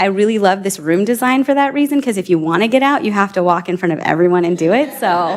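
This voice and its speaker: Very fast delivery with lively intonation and an animated tone. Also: woman. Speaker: rural housing advocate. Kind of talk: panel presentation. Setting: room with live audience.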